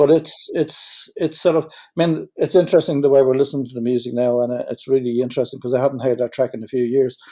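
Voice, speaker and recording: In a Dublin accent, a man speaks at a very fast pace with a dark, mellow tone. His pitch is medium, with ordinary pitch variation. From Ireland, Dublin. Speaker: musician. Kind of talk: interview.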